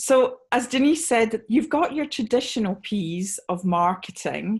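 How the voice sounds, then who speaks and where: A somewhat breathy woman with a Scottish accent. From Scotland. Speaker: sales trainer, conference speaker. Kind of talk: panel presentation. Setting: video call webinar. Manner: slowed down for clarity.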